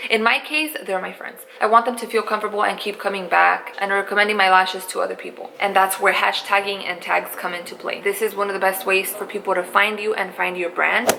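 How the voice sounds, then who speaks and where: A woman speaks at a fairly quick pace with a medium pitch and hardly any pauses. Noticeable background noise runs behind her. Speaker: beauty vlogger and small business founder. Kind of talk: casual vlog tutorial. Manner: animated; loud.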